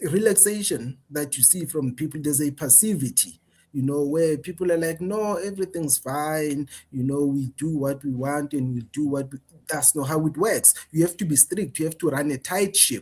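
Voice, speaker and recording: At a moderate pace, a man talks in a somewhat breathy, fairly high voice with ordinary pitch variation. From South Africa. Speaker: political commentator. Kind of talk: interview discussion. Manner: repetitive restarts, stammering on words.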